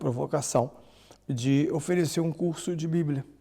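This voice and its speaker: With fairly even intonation, a man speaks in a fairly high, somewhat breathy voice that has a dark, mellow tone. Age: 60s. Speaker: priest and bible scholar. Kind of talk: podcast interview.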